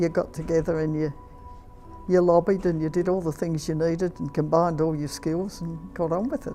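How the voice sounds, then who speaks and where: Over music in the background, a woman with a fairly low voice speaks at a moderate pace in an Australian accent. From Australia, Victoria. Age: 80s+. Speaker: retired nurse. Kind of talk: interview answer.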